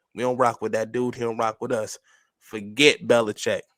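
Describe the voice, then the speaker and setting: Recorded with a dry, close sound and no echo, a man with a New York accent speaks at a medium pitch. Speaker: sports podcast co-host. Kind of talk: casual chat. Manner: calm today.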